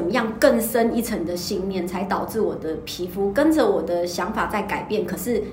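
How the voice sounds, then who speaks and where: Over noticeable background noise and audible room echo, a woman talks at a moderate pace in a medium pitch with ordinary pitch variation. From Taiwan, Kaohsiung. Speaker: fashion stylist. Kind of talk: casual chat. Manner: hesitant, many fillers.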